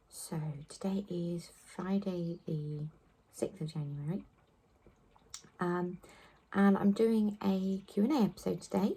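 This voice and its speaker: Speaking very slowly with long, frequent pauses, a woman with an English accent uses a medium pitch, ordinary pitch variation and a dark, mellow tone that is somewhat breathy. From southwest England. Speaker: knitting podcaster. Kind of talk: casual chat. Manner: hesitant, many fillers.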